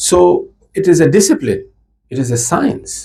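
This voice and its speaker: This man has a dark, mellow tone with vocal fry and speaks at a moderate pace. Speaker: Shia cleric giving a religious lecture. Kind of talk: religious lecture.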